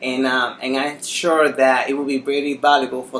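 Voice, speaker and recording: Over noticeable background noise, a man with a Spanish accent talks at a moderate pace and medium pitch in a monotone, flat intonation. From Dominican Republic. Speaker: interviewer. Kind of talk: interview.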